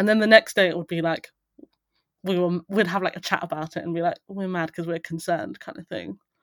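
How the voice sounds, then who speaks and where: In a southern English accent, a woman talks at a fairly quick pace in a fairly low pitch with fairly even intonation, the sound dry and close with no echo on a very clean recording with a silent background. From southern England, rural Buckinghamshire. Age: 30s. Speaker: venture capital investor. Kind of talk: casual chat.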